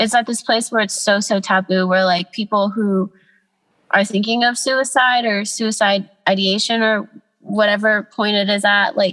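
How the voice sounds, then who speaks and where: A woman with an American accent speaks at a moderate pace and a medium pitch, her bright, sharp tone held at very even loudness with fairly even intonation. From US South, Atlanta then Los Angeles. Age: 20s. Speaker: artist, podcast guest. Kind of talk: casual chat.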